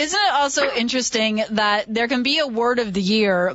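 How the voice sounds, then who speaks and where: A woman speaks in a fairly high pitch at a moderate pace, with ordinary pitch variation. Noticeable background noise runs underneath. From Ontario. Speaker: radio host. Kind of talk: radio interview.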